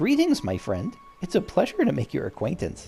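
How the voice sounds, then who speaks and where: A man puts on a character voice pitched high. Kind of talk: formal, courteous. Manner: overly polite, unsettling.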